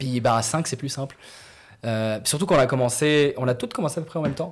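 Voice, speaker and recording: This man has a normal speaking voice at a medium pitch. He talks at a fairly quick pace. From Morocco. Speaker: comedian. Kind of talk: casual chat.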